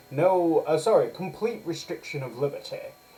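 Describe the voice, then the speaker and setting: A man's lively, moderately paced speech amid noticeable background noise. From northern England. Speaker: political commentator. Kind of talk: commentary monologue. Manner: occasional self-corrections and fillers.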